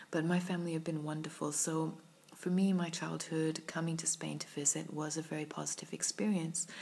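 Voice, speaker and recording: A woman's very deep, low voice with a British accent, monotone and flat, at a fairly quick pace. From UK. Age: 30s. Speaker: vlogger. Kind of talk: personal vlog monologue. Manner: reflective, hesitant with fillers.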